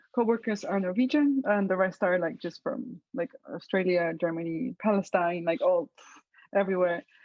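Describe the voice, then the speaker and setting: In a Slovenian accent, a woman speaks at medium pitch with lively intonation. Her pace is moderate. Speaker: web developer. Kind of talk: interview. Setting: video call. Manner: casual, many fillers.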